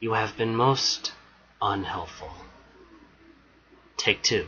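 Someone puts on a raspy character voice. The words come at a very slow pace. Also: man, medium pitch for a man. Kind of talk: voice acting audition. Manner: intense, threatening.

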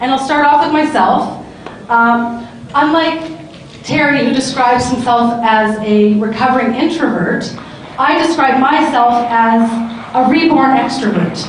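A woman with a high pitch and ordinary pitch variation talks at a fairly slow pace amid strong room echo and light background noise. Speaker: panel moderator. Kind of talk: panel discussion. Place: hall.

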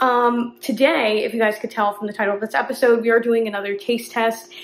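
Audible room echo and light background noise surround a woman speaking at a fairly quick pace. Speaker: coffee content creator. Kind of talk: casual vlog chat. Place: kitchen. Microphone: phone near.

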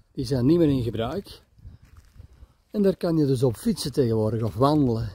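Dry with no echo, a man's somewhat breathy voice has a dark, mellow tone and ordinary pitch variation. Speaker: camper travel vlogger. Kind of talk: casual vlog commentary. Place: street. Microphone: phone near.

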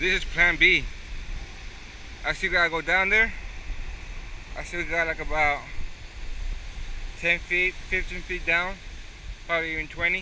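The voice moves at a moderate pace, with light background noise and a dry sound with no echo. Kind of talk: casual vlog chat. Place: waterside. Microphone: phone near.

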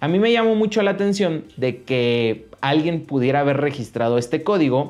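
With faint music in the background, a man with a Mexican accent speaks at a moderate pace, his pitch swinging very widely. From Mexico. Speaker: YouTuber. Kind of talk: vlog monologue. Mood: complaining but friendly. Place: studio.

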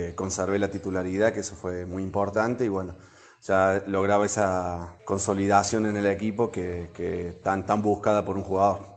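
A man's fairly low voice stays in a monotone, flat intonation. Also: moderate pace. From Argentina, Córdoba. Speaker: former Olympic volleyball player. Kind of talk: interview testimony.

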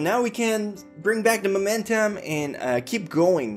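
Someone with a French Canadian accent speaks as faint music plays in the background. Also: man. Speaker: anime youtuber. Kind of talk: casual anime review talk to camera. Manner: casual, hesitant. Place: home room.

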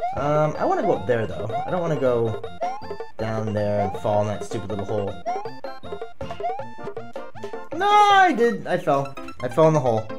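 A man speaks at a moderate pace with long, frequent pauses while clear music plays in the background. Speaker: game streamer. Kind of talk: gaming commentary.

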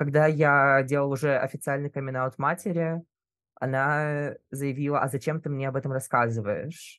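A man with a normal speaking voice, fairly high pitch, fairly even intonation and moderate pace, dry and close with no echo over a quiet background. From Russia. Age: 20s. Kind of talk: casual chat.

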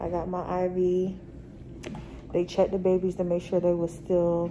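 A woman with a fairly low pitch speaks at a very slow pace in monotone, flat intonation. Light background noise is present. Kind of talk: casual vlog chat. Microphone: phone near.

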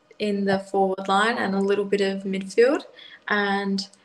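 A woman talks amid loud background noise. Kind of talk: interview answer. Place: home room. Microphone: video call.

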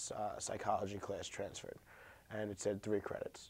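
A man speaks at medium pitch in a dark, mellow tone. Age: 20s. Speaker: college student. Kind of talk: interview. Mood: frustrated but calm. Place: studio.

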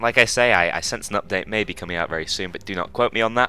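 With music playing underneath, a man talks at a fairly quick pace. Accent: British. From United Kingdom. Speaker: gaming YouTuber. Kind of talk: casual vlog update.

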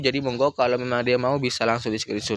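A man speaks in an upbeat tone at medium pitch. The sound is dry, with no echo. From East Java, Indonesia. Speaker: plant seller vlogger. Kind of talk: street-seller sales pitch, rattling off promo prices with repeated phrases. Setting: plant shop, filmed video. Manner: repetitive, pushy and upbeat, repeating each price two or three times. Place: garden. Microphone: phone near.

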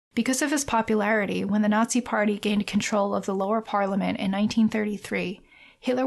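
Against a quiet background, a woman with a fairly high pitch and vocal fry speaks at a very fast pace with hardly any pauses. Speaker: podcast host. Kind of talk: narrative podcast narration.

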